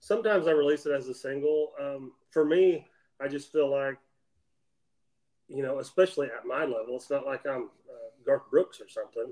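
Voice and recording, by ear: Speaking at a moderate pace with an American accent, a man with a medium-pitched voice and slightly mellow tone keeps his intonation fairly even.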